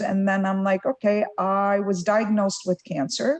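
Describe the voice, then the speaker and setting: A woman's medium-pitched voice with an Arabic accent at a moderate pace. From Lebanon. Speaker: tech executive. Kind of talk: fireside chat interview.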